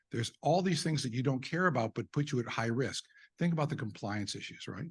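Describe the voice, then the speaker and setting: A man speaks at a fairly quick pace with a fairly high pitch and a somewhat breathy quality. His intonation is lively. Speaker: eye surgeon presenting at a medical conference. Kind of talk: conference presentation. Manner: animated.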